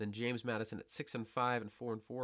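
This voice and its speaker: Speaking at a very fast pace, a man with a medium-pitched voice keeps his intonation fairly even. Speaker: college football podcaster. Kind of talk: solo sports predictions podcast. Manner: rushed.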